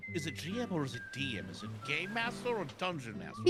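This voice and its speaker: Very fast speech from a man with a fairly high pitch and very wide pitch swings, over music in the background. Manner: brash, swears a lot.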